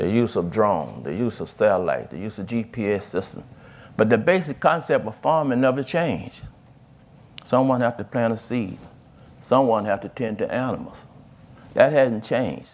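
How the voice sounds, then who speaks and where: With a Mississippi accent, a man talks at medium pitch and a moderate pace, his lively intonation broken by long, frequent pauses and touched with vocal fry, on a very clean recording with a silent background. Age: 60s. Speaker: farmer and farm advocate. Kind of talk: panel discussion. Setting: stage with audience. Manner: halting.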